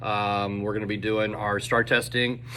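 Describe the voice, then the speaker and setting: A man with a fairly low pitch talks, and audible room echo surrounds his voice. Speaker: teacher. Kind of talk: casual video update to students. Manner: fast.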